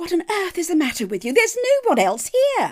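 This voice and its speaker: A woman puts on a squeaky character voice at an extremely high pitch. She talks fairly quickly, with very wide pitch swings. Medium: audio drama. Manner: dry, proper, acerbic.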